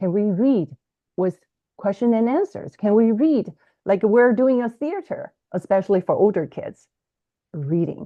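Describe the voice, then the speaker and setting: With a Chinese accent, the speaker moves at a moderate pace, pitch swinging very widely. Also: woman. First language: Mandarin Chinese. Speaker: bilingual education author and podcaster. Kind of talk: interview. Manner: halting, frequent repetitions.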